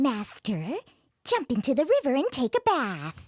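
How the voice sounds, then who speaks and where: A female-sounding, cartoonish character voice. It moves at a moderate pace. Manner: confident, sly, chuckling.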